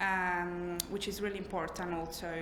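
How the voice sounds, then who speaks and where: A woman with a non-native accent and fairly low pitch speaks in a monotone, flat intonation at a moderate pace, with noticeable background noise and audible room echo. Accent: foreign. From Italy. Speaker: trainee therapist. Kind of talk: job interview. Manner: halting, many fillers.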